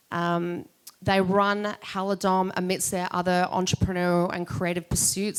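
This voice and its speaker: In an Australian accent, a woman with a fairly low voice talks at a moderate pace in a flat monotone. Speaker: podcast host and entrepreneur. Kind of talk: event welcome speech. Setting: live event with audience.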